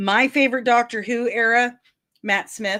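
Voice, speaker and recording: Bright and sharp in tone, a woman speaks animatedly with a Midwestern accent. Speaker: pop culture news youtuber. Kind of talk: casual commentary.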